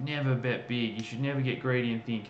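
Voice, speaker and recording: There's audible room echo and noticeable background noise as a man speaks at a fairly quick pace with an Australian accent. His pitch sits in the medium range, with ordinary pitch variation. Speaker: crypto news host. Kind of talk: casual livestream chat. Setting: livestream. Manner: animated.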